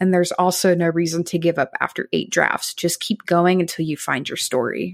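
This is a plain, everyday voice moving at a fairly quick pace. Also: woman, fairly low pitch for a woman, hardly any pauses. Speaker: writing coach and editor. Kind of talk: pep talk. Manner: encouraging, upbeat.

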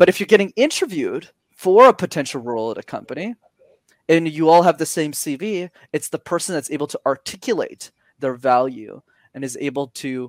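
A man with a Montreal accent at a fairly quick pace, the sound dry and close with no echo on a very clean recording with a silent background. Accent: Canadian English, Montreal. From Montreal, Quebec. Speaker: communication coach. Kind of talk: interview. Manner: animated.

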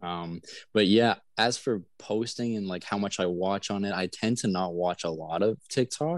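A man's plain, everyday voice with a Canadian accent, fairly low in pitch with ordinary variation, at a moderate pace, in a dry, close sound with no echo. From Canada, Manitoba (south of Winnipeg). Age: 20s. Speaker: social media content creator. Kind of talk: casual interview chat. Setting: video call. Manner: relaxed, laid-back.

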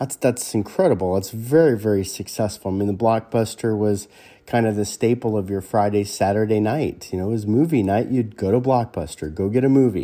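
Speaking with an American accent at a fairly quick pace, this voice has a dark, mellow tone, ordinary pitch variation and hardly any pauses, on a very clean recording with a silent background. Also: man, fairly low pitch for a man. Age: 50s. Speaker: podcast host. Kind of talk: solo talk. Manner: halting, frequent repetitions.

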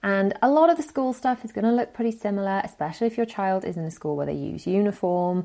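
A dark, mellow tone in a British accent, with lively intonation and a very fast pace. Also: woman, medium pitch for a woman. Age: 40s. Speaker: parenting podcast host. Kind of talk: solo podcast advice talk.

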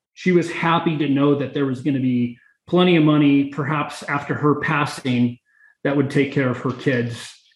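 A man talks at a fairly quick pace with a fairly high pitch. His voice is somewhat breathy and his intonation fairly even. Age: middle-aged. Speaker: real estate investor. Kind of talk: interview.

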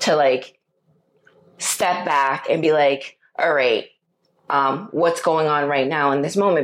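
An ordinary speaking voice is heard here. The pace is moderate, and the pitch shifts in an ordinary way. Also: woman. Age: middle-aged. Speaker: podcast co-host. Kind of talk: casual chat.

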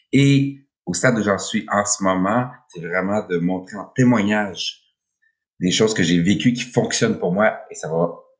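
A fairly low-pitched male voice with lively intonation. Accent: Quebec. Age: 50s. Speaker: podcast host. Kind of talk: solo podcast monologue, unscripted. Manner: hesitant, many fillers.

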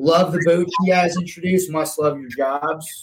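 A man talks fairly slowly, his voice fairly high in pitch. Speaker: boating podcast co-host. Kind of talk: live podcast chat. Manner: animated.

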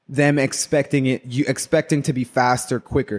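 Fairly high in pitch, a man speaks in a plain, everyday voice at a moderate pace with fairly even intonation. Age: 30s. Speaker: barber. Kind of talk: casual chat.

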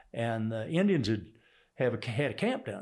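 Speaking with a Texas accent, a man keeps a moderate pace and lively intonation. The recording is very clean with a silent background. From Texas (Houston), born in Oklahoma. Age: 70s. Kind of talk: interview.

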